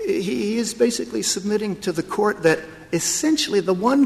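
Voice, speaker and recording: A man's fairly quick speech with very wide pitch swings amid noticeable background noise. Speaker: attorney arguing before the court. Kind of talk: courtroom oral argument, formal legal advocacy. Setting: courtroom, Supreme Court hearing. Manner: formal, measured, deferential, with frequent hesitations and restarts under questioning.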